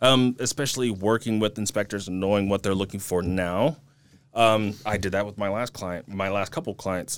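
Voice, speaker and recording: Recorded very cleanly against a silent background, a man talks at a moderate pace in an unremarkable speaking voice, fairly low in pitch with fairly even intonation. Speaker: real estate agent. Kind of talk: casual chat. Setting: studio.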